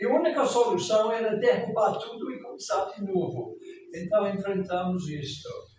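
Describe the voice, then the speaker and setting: Amid audible room echo and noticeable background noise, a man talks. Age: 80s+. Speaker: pastor. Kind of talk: sermon.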